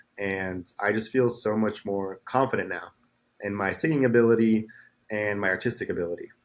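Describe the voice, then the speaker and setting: A man's fairly low-pitched voice. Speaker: musician. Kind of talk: interview.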